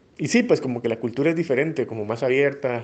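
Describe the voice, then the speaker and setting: His intonation is mostly level. The man speaks very quickly. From Guatemala, Flores, Petén. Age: 30s. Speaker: migrant interviewee, former bank employee. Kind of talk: personal testimony. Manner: hesitant, many fillers.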